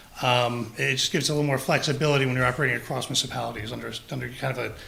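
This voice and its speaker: Noticeable background noise and audible room echo surround a man talking very fast at medium pitch with fairly even intonation. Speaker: public health district official. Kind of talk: presentation at town council meeting. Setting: town council meeting, also streamed on Zoom.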